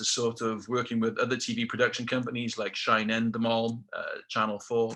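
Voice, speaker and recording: With a South Welsh accent, a man speaks at a medium pitch in a bright, sharp tone against a quiet background. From South Wales, Rhondda Valley. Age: 50s. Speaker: motivational speaker, ex-military aircrew. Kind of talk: motivational talk. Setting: webinar.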